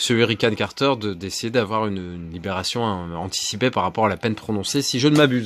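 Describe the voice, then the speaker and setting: A man's fairly low voice at a very fast pace, ordinary pitch variation and hardly any pauses. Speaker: film collector youtuber. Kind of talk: casual haul video presentation. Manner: hesitant, many filler sounds.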